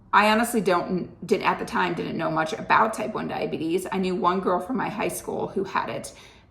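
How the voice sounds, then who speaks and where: Amid audible room echo and noticeable background noise, a woman talks fairly quickly with hardly any pauses, at a medium pitch with ordinary pitch variation. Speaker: health vlogger. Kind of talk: casual vlog monologue. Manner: chatty and conversational.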